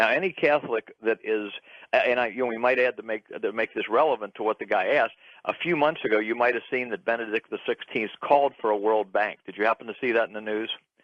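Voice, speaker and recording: This man talks at a fairly quick pace, his medium pitch moving with ordinary variation. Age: 50s. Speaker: radio caller. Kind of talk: call-in conversation. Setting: phone call. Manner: halting, frequent restarts.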